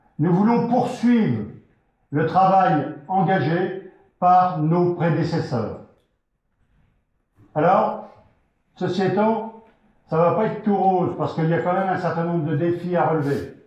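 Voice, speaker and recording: A man with a high voice speaks at a very slow pace, his pitch varying in an ordinary way. Long pauses come often, and the room echo is audible. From France, Vendée. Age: 60s. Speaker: local election candidate. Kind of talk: campaign rally speech. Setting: hall with audience. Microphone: poor sound.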